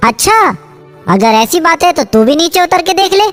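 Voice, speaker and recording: A cartoonish character voice moves at a fairly quick pace. Faint music plays in the background. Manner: defiant.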